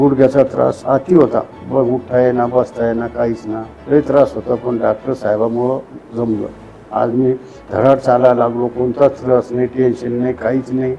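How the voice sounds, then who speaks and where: A man's flat, monotone voice at medium pitch, with music in the background. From rural Maharashtra, India. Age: old. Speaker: knee replacement patient. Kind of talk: interview answer.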